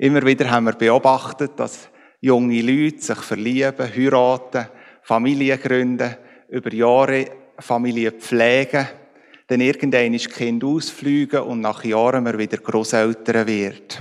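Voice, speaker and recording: A man talks fairly slowly at a medium pitch with monotone, flat intonation. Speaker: church team member. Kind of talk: testimony.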